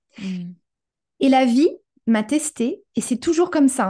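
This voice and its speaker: Dark, mellow tone from a woman speaking at a high pitch. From France. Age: 30s. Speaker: human design coach, former restaurant operations director. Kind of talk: casual interview.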